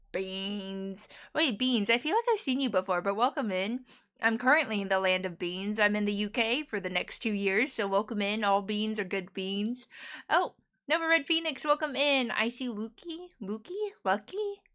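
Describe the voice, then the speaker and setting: In a very clean recording with a silent background, a woman with an American accent speaks at a moderate pace, her fairly high voice bright and sharp with lively intonation. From United States. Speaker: variety game streamer. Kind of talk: casual live-stream chat. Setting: live stream at night. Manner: animated.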